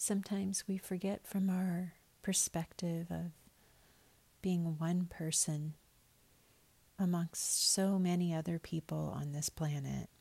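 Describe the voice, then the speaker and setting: A somewhat breathy, dark, mellow voice with a soothing, gentle tone, flat monotone intonation, a fairly slow pace and long, frequent pauses. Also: woman, fairly low pitch for a woman. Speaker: spiritual podcaster. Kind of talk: fervent morning prayer, warm spoken blessing. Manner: gentle, tender, earnest and unhurried, with heartfelt repeated wishes; soothing and sincere, cadenced like a benediction.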